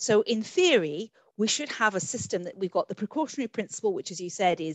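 Here a woman with a medium pitch talks at a fairly quick pace, her intonation lively and her loudness swinging widely. The sound is dry with no echo, over a quiet background. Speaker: webinar moderator. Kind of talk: moderated panel webinar. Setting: video call. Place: home room. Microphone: video call.

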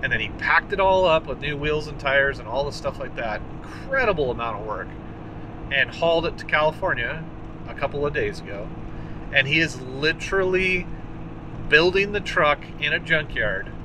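A man speaks at a moderate pace with long, frequent pauses. The sound is dry with no echo but has noticeable background noise. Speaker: vintage truck channel host. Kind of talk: casual vlog chat. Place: car. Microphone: phone near.

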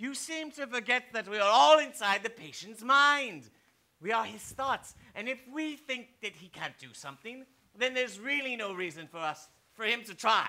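A man puts on a character voice at an extremely high pitch for a man, with a bright, sharp tone. The pace is moderate and the intonation lively.

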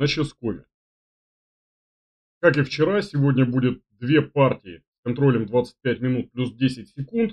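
A man talks at a very slow pace. Behind him, the background stays quiet. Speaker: chess commentator, stream host. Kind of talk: casual announcement to viewers. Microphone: webcam.

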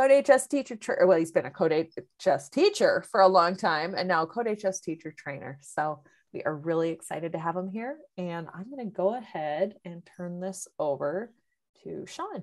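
A woman speaks at a moderate pace with lively intonation and big swings in loudness. The background is quiet. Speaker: webinar host. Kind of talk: webinar introduction. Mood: friendly, upbeat. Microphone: video call.

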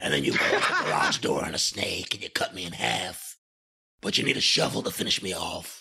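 A gruff, raspy put-on character voice at a fairly quick pace. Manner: wrestling promo.

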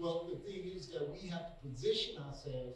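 A man speaks at a medium speed as noticeable background noise carries on. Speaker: preacher. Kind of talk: sermon. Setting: online video message, church. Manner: earnest, encouraging, exhortative; repetitive, stumbling on words.

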